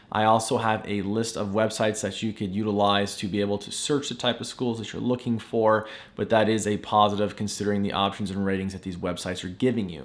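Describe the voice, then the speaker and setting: Enthusiastic in tone, a man talks at a very fast pace with hardly any pauses. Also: fairly low pitch for a man. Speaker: real estate agent vlogger. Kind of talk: casual vlog talk to camera. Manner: stumbling, repeats words.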